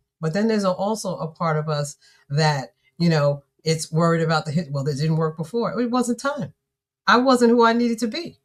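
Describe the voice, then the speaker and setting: The speaker talks fairly quickly and sounds somewhat breathy, with very wide pitch swings. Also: woman, fairly low pitch for a woman. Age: 60s. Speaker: author and business coach. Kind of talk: live-streamed conversation. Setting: live stream. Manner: animated.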